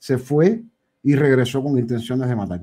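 Over a quiet background, a man with a medium pitch and a dark, mellow tone talks at a moderate pace. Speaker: live stream call-in participant; show host. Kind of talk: casual political discussion. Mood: opinionated, conversational. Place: home room. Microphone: studio mic.

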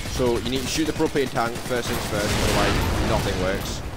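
Over noticeable background noise and audible room echo, a man talks at a fairly quick pace with very even loudness and ordinary pitch variation. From England. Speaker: gaming YouTuber. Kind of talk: live gameplay commentary. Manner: animated.

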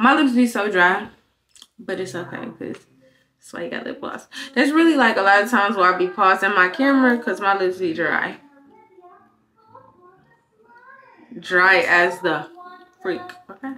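At a moderate pace, a woman speaks with long, frequent pauses and big swings in loudness. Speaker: vlogger. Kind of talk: casual vlog chat. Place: bathroom. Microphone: phone near.

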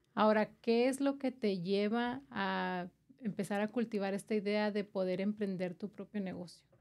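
A normal speaking voice moves at a moderate pace. The pitch shows ordinary variation. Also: woman, medium pitch for a woman. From Chihuahua, Mexico. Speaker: podcast host. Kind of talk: interview. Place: studio. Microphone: studio mic.

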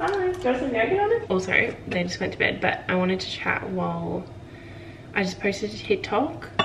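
With noticeable background noise behind her, a woman speaks in an Australian accent. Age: 20s. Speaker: vlogger. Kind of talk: casual vlog monologue. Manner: fast, chatty. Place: home room. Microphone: phone near.

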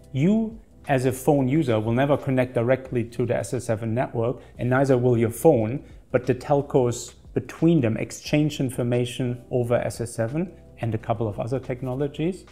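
A man talks with ordinary pitch variation while faint music plays in the background. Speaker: security channel host. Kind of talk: explainer presentation. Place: office. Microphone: lapel.

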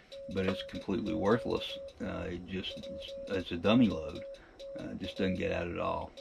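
A man at a moderate pace, with music playing behind him. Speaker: amateur radio operator. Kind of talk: casual vlog chat. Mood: relaxed, good-humoured. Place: home room. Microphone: camera far.

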